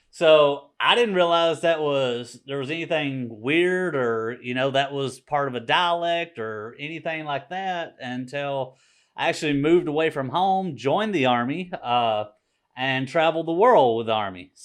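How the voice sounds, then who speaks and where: A man speaks with a Southern accent. His fairly high voice has lively intonation. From Mississippi, US. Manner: mild drawl.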